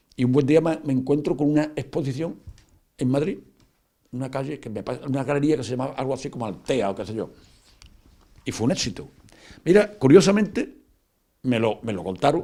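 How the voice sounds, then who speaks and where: At a fairly quick pace broken by long, frequent pauses, a man with a medium pitch and a dark, mellow tone uses lively intonation with big swings in loudness. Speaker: painter. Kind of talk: interview. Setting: at home. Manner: fast; halting, many repetitions and fillers.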